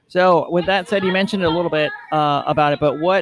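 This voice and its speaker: A man's fairly high voice, an ordinary speaking voice at a fairly quick pace with fairly even intonation. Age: 40s. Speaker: podcast co-host. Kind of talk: casual chat. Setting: in a brewery.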